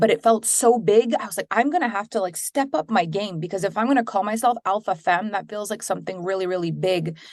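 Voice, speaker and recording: A woman with a Quebec accent at a very fast pace, her pitch variation ordinary. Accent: French Canadian accent in English. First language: French. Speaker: business coach and entrepreneur. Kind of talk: interview.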